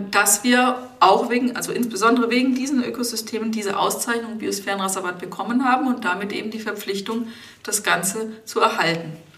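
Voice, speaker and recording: Heard with audible room echo, a woman speaks with ordinary pitch variation. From Germany, Lower Franconia (Rhön, Bavaria). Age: 30s. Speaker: biosphere reserve administrator, geographer. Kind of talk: interview.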